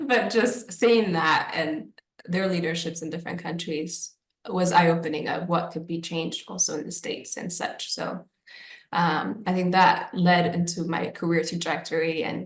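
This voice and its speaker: A woman talks at a moderate pace with a fairly low pitch and ordinary pitch variation. Her voice is somewhat breathy. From Ethiopia, left as a young child. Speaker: alumni career panelist. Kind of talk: panel discussion.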